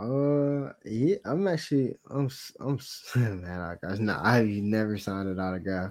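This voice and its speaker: This man has a plain, everyday voice, pitched fairly low. He speaks at a fairly slow pace with lively intonation. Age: 20s. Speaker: sports podcast co-host. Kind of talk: casual chat.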